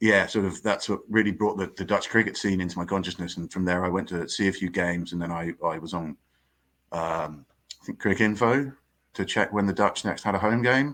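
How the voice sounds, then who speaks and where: On a very clean recording with a silent background, a man talks at a fairly quick pace in a fairly low pitch with ordinary pitch variation. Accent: English. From southern England, Surrey. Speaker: cricket writer. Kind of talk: podcast interview. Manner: halting, many fillers and repetitions.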